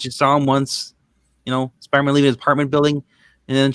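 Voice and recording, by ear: With the background quiet, the text is read aloud in a natural voice.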